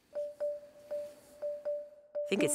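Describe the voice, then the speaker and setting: Clear music sits in the background. The sound is dry, with no echo. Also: woman. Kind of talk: interview answer. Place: open country.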